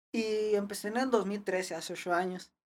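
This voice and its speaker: A woman with a normal speaking voice talks at a fairly slow pace. Her pitch varies in an ordinary way. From Ciudad Juárez, Mexico. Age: 20s. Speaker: BMX rider. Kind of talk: casual chat.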